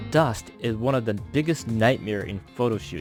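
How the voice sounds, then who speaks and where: A man at a moderate pace, his pitch swinging very widely, with music in the background. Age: 40s. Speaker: toy collector and photographer. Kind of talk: unboxing product review. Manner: uneven, wandering intonation.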